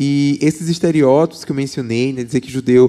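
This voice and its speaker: A man with a Paraíba accent speaks at a fairly high pitch. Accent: Paraíba (northeastern Brazilian). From Paraíba, Brazil. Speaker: political scientist and professor. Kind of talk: church talk interview.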